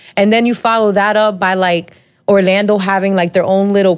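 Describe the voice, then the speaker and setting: A woman with a plain, everyday voice speaks in an American accent at a medium pitch and a moderate pace. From New Jersey, Dominican family. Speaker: podcast host. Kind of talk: casual chat.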